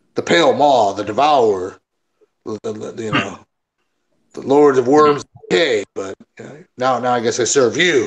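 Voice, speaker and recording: Using a put-on character voice, a man speaks at a medium pitch and moderate pace. He leaves long, frequent pauses. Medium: actual play. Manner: rambling, offhand.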